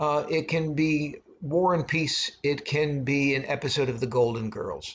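Somewhat breathy man speaking at a fairly slow pace, fairly even intonation, light background noise. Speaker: film class teacher. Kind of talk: lecture. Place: home room. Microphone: webcam.

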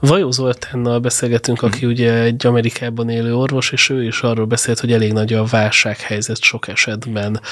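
A man at a fairly quick pace, monotone and flat, with hardly any pauses. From Hungary. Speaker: podcast host. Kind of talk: interview. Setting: studio. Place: studio. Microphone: studio mic.

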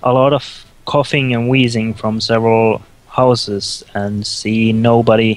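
The speaker is reading aloud in a natural voice, keeping the intonation fairly even.

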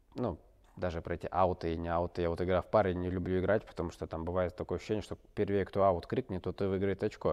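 Very fast pace and monotone, flat intonation over a quiet background. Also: man. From Russia, Barnaul; Russia. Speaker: ice hockey player; interview guest. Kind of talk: interview. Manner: halting, many fillers. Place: studio.

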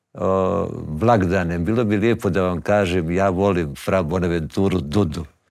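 In a very deep, low voice, a man speaks at a fairly slow pace with ordinary pitch variation. The background is quiet. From Bosnia, Bosanska Krajina; Bosnia. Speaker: poet and actor; interview guest, poet. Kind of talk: interview conversation. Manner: halting. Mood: warm, reflective. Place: studio. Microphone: lapel.

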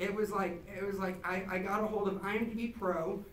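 In a room with audible echo and light background noise, a man talks in a high pitch. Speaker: event host. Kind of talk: event introduction speech. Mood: excited, emotional. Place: hall. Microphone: pa.

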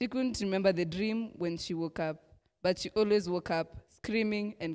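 The reading voice sounds unforced, and its pitch moves up and down in a normal way.

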